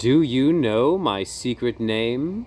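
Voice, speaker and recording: In a put-on character voice, a man speaks at a medium pitch. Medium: read story. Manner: gentle, unhurried.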